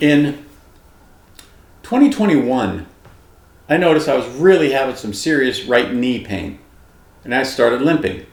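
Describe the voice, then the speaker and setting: A man speaks with audible room echo. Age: 60s. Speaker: retired police officer, diet vlogger. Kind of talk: personal testimony vlog. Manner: casual, conversational.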